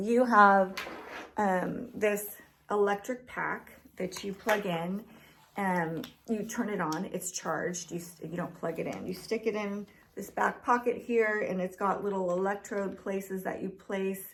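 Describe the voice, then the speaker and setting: At a fairly slow pace, a woman speaks in a plain, everyday voice at a medium pitch with fairly even intonation. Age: 50s. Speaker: fitness vlogger. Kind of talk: product review. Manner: casual, filler-heavy.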